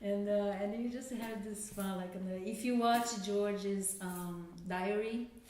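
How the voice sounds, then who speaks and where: A very slow delivery with ordinary pitch variation, in a Brazilian Portuguese accent, with audible room echo. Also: woman. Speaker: filmmaker. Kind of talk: Q&A discussion. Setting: screening venue with audience. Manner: halting, many fillers.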